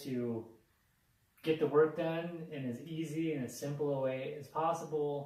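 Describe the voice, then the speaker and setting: Speaking fairly slowly with fairly even intonation, a man's fairly high voice is heard with audible room echo. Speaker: job seeker. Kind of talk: casual chat. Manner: loud.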